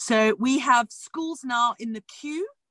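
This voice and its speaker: A woman's fairly high voice with a South African accent, bright, sharp in tone, dry and close with no echo. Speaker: education entrepreneur. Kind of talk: interview. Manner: animated.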